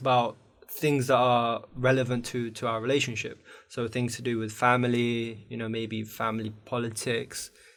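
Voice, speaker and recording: This man speaks with an Iranian accent at a medium pitch. His pace is moderate. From Afghanistan, raised in the UK. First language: Farsi. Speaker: university student, podcast guest. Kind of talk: casual chat.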